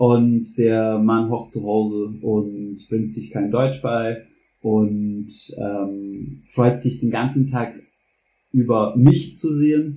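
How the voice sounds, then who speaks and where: A man's very slow delivery at medium pitch, dark and mellow in tone, with ordinary pitch variation. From US South, Louisiana. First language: English (speaking German). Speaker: German teacher. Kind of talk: personal testimony in a podcast interview. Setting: kitchen at home. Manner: halting, many fillers and repetitions.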